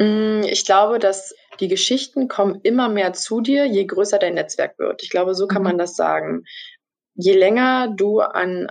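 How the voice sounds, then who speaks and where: A woman speaks fairly slowly at a medium pitch with ordinary pitch variation, against a quiet background. It is an ordinary speaking voice. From Brandenburg, Germany. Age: 20s. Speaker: trainee journalist. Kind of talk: interview.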